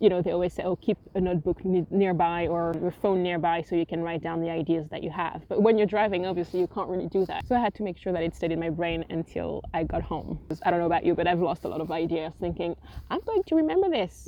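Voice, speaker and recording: With a French accent, a woman with a fairly low pitch talks at a very fast pace with hardly any pauses and monotone, flat intonation over noticeable background noise. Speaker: writer and vlogger. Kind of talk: casual vlog talk. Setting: outdoors on a windy beach. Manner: casual, with hesitations.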